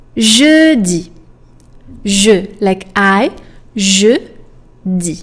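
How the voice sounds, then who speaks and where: A woman with a French accent, her pitch swinging very widely. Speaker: French teacher. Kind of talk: tutorial. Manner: slow, deliberate enunciation.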